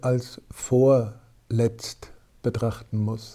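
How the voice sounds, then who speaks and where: The man's tone is dark and mellow. His pitch lands in the medium range. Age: 40s. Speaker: former priest and hunter. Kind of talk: podcast interview.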